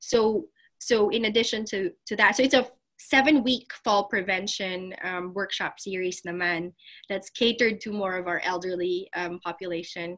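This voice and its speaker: A woman with a Filipino accent speaks at a moderate pace. Her medium-pitched voice shows ordinary pitch variation. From Philippines, Manila area. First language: Tagalog. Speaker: physical therapist, clinic owner. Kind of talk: interview.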